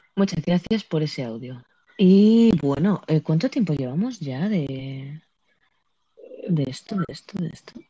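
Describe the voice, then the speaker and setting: A woman talks at a fairly slow pace, with long, frequent pauses and a fairly low pitch. Her dark, mellow tone is somewhat breathy and swings very widely in pitch. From Andalusia, Spain. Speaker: podcast host and streamer. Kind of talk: casual chat. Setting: live audio app on phone.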